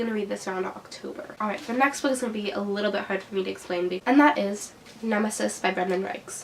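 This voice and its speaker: A woman talks very fast, with noticeable background noise behind her. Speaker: book reviewer. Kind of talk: casual talk to camera.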